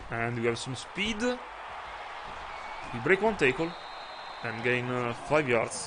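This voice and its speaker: A man with an Italian accent at a medium pitch, fairly slow and lively in intonation, with long, frequent pauses, audible room echo and crowd noise in the background. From Italy. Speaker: video game streamer. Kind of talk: live gameplay commentary. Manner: hesitant, frequent uh fillers.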